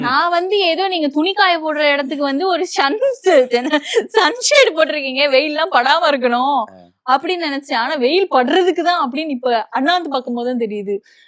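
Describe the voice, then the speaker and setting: Lively intonation in a high-pitched female voice. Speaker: interviewer. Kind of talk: casual interview questions.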